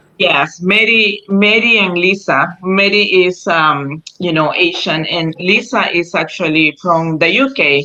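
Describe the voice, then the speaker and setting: Speaking with a Spanish accent, a woman with a fairly low voice talks at a fairly slow pace with hardly any pauses and ordinary pitch variation, against noticeable background noise. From Costa Rica. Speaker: animal rescuer. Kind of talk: interview. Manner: halting.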